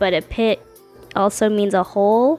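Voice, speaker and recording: Against music in the background, a woman speaks at a fairly high pitch. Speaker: artist. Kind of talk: casual voice-over narration. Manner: casual, chatty.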